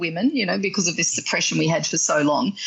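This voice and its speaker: A woman speaks with an Australian accent and very wide pitch swings. Noticeable background noise can be heard. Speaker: sex and relationship coach. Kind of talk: podcast interview.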